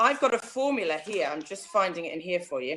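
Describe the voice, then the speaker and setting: Using lively intonation, a woman with an English Midlands accent speaks at a moderate pace. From central England. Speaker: online business coach. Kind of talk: interview. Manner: loud when enthusiastic.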